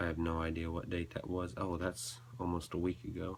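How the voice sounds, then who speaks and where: This man's voice is very deep and low. It is somewhat breathy. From US South, North Carolina. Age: young. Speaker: video blogger. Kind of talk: personal confessional vlog. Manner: halting.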